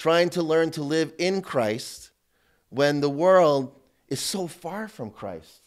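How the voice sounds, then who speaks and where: The background stays quiet. A man talks very slowly. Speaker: priest teaching a seminar. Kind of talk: sermon. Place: church.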